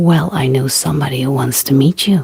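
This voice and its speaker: This is a put-on character voice, raspy and low-to-middle in pitch. The pace is fairly quick. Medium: read story.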